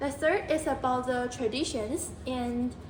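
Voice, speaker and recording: High-pitched woman's voice in a Chinese accent, ordinary pitch variation, noticeable background noise and audible room echo. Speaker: English teacher. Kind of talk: mock English lesson.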